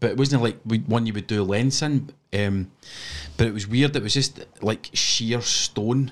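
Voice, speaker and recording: Recorded very cleanly against silence, a man speaks at medium pitch in a Scottish accent, with ordinary pitch variation. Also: fairly slow pace. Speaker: podcast host. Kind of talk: casual chat, live stream. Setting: home studio with headphones, live stream. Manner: swears casually, jokey.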